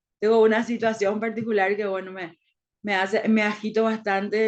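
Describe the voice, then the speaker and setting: A woman speaks at a moderate pace with a flat, monotone delivery. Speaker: teacher. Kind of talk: lecture. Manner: halting.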